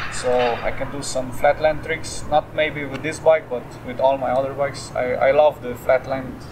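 A man's monotone, flat delivery at a moderate pace, with noticeable background noise. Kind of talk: interview answer. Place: street.

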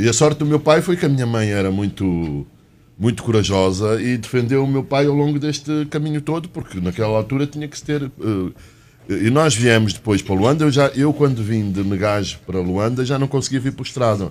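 With lively intonation, a man speaks at a medium pitch and a fairly quick pace. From Angola (Uíge) and Portugal; Angola. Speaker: economics journalist. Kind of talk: panel interview. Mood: reflective storytelling. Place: studio. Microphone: studio mic.

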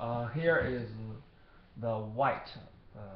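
At a very slow pace, a man with a Chinese accent speaks at medium pitch amid light background noise and audible room echo. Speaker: product seller. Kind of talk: product demonstration. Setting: recorded on computer camera. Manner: halting. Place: office. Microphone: webcam.

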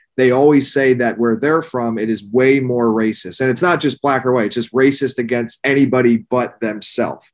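With an American accent, a man talks at a moderate pace with hardly any pauses against a quiet background. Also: fairly even intonation. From Pennsylvania, near Philadelphia. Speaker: podcast host. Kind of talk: casual interview. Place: home room. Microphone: webcam.

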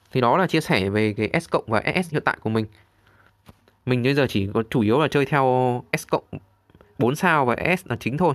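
Lively intonation marks this man's medium-pitched voice as he speaks fairly quickly. He pauses often and at length, and the sound is dry and close with no echo. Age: 30s. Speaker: gaming YouTuber. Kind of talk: game tutorial walkthrough.

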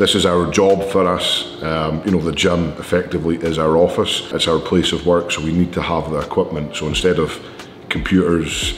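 With audible room echo and light background noise, a man speaks at a moderate pace in a very deep, low pitch with fairly even intonation. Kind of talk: casual vlog chat. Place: gym.

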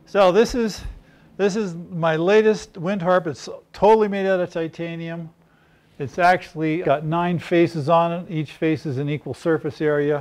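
With ordinary pitch variation and a moderate pace, the man talks in a high register. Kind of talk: interview answer. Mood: calm, enthusiastic explaining. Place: workshop. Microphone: lapel.

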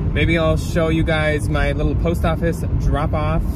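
A man speaks over loud background noise. The sound is dry with no echo. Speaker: thrift reseller vlogger. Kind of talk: casual vlog chat. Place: car. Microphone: phone near.

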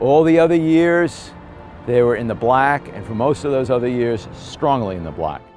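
With faint music in the background, a man talks at a moderate pace. His loudness swings widely, and the sound is dry with no echo. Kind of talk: interview answer. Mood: indignant advocacy. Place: street. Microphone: lapel.

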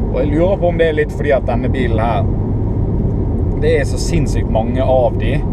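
Speech comes at a fairly quick pace over loud background noise. The sound is dry, with no echo. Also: man. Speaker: driver vlogger. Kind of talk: casual vlog chat. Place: car. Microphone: camera far.

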